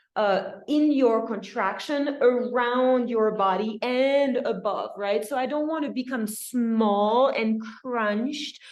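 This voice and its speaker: A woman with a fairly high pitch and a warm tone speaks very slowly with ordinary pitch variation, and audible room echo can be heard. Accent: slight French. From France. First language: French. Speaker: dance instructor. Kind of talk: dance class instruction. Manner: warm, encouraging.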